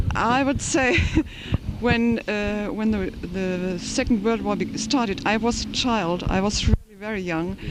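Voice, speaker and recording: The speaker has a German accent and talks at a fairly slow pace. Background noise is noticeable. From Germany. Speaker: interviewee on the street. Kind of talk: interview. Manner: halting.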